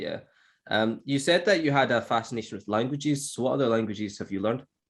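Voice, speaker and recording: A man with a Scottish accent at a very fast pace, medium in pitch, with ordinary pitch variation in a very clean recording with a silent background. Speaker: English teacher. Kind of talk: podcast conversation.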